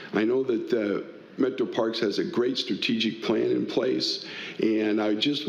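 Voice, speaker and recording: A man talking at a fairly slow pace, with audible room echo. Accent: American. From Tacoma, Washington, US Pacific Northwest. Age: 60s. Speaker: political candidate, community volunteer. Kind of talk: candidate forum opening statement.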